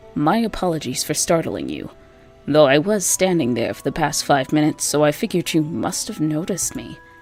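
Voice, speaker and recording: Over music in the background, a husky, put-on character voice at a middle pitch moves at a fairly quick pace. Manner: polite, apologetic.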